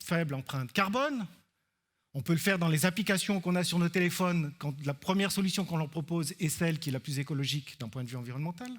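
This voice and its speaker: Very fast speech from a man in an Alpine Swiss accent, fairly high in pitch, with ordinary pitch variation. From Switzerland, Alpine canton. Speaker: researcher. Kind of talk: conference talk. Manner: hesitant fillers (euh).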